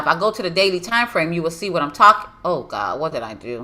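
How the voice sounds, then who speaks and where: The voice has an animated tone. It also sounds bright and sharp. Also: woman. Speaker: forex trading educator. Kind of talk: live trading tutorial.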